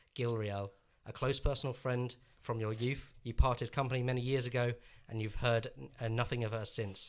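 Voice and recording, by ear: In a natural voice, someone reads aloud with intonation that stays fairly even.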